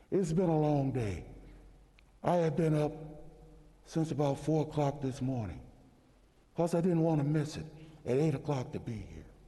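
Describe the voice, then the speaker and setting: Long, frequent pauses mark this man's speech at a moderate pace. His tone is dark and mellow, and somewhat breathy. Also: fairly high pitch for a man, ordinary pitch variation. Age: 60s. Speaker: state senator. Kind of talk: legislative floor speech. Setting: senate chamber. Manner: impassioned.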